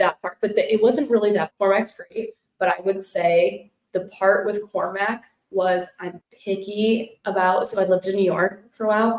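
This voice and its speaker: Keeping her intonation fairly even, a woman speaks in an unremarkable speaking voice at a medium pitch. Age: 20s. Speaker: podcast host, former reality show contestant. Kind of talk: casual interview chat. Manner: fast, chatty.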